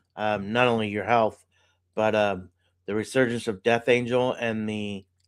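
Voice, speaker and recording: A man speaks in a normal speaking voice at a medium pitch and a moderate pace. His intonation is fairly even, and the recording is very clean with a silent background. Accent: American. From Sacramento, California. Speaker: podcast host. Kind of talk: interview.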